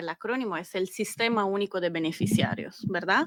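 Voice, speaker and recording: On a very clean recording with a silent background, a woman speaks at medium pitch with a slight Italian accent. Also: dry, close sound with no echo. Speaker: government data analyst. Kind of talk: interview.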